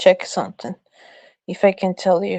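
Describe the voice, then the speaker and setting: A woman with a strong non-native accent speaks in a dark, mellow tone. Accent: strong foreign. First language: Portuguese. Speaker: livestream guest. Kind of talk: heated debate. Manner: halting.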